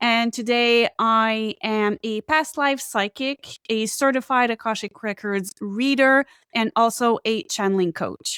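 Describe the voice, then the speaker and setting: On a very clean recording with a silent background and a dry, close sound without echo, a woman with a French Canadian accent speaks at a fairly slow pace with hardly any pauses, using a fairly high pitch, a bright, sharp tone, and fairly even intonation. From Quebec, Canada. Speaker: psychic and Akashic Records reader. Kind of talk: interview.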